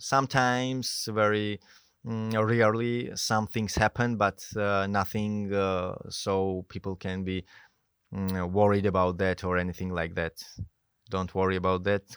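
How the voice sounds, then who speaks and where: In a very clean recording with a silent background and a dry, close sound with no echo, a man with a Georgian accent talks at a fairly slow pace, with a fairly low pitch and fairly even intonation. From Georgia (country). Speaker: mountain guide. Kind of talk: interview. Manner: halting.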